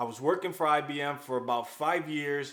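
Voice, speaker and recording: Using a plain, everyday voice, this man keeps fairly even intonation and a moderate pace. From New York, US (Dominican-born, moved at 8). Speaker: software engineer, YouTuber. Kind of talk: personal vlog storytelling. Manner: casual.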